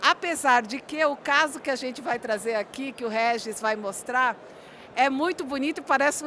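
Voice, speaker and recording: A raised, projected voice carries a bright, sharp tone and ordinary pitch variation. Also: woman. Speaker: corporate presenter. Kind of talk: conference presentation. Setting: conference room with audience. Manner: slow.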